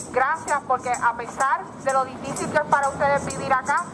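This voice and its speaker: Over music in the background, a woman talks very fast in a high pitch with fairly even intonation. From Puerto Rico. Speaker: independence activist. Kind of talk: rally speech.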